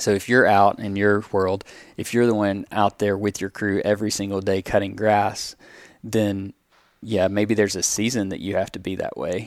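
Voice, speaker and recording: The speaker has a Southern US accent and a moderate pace. The intonation is monotone and flat. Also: man, fairly low pitch for a man. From US South. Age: 30s. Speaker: pest control business owner. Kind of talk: casual interview.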